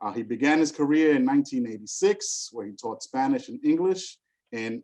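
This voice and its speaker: A man with a New York accent speaks at a fairly quick pace. His voice is medium in pitch, with a dark, mellow tone. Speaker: school superintendent. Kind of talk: virtual conference speaker introduction. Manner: animated.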